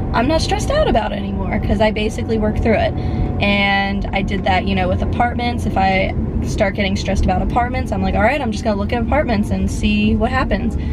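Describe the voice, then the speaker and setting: Amid loud background noise, a woman talks at a very fast pace. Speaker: vlogger. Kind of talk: casual vlog chat. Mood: reflective, slightly stressed. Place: car. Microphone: phone near.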